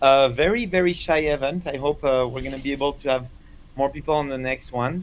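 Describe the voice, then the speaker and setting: Ordinary pitch variation with a French accent. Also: man. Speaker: chess commentator. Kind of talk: live commentary. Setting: live stream studio.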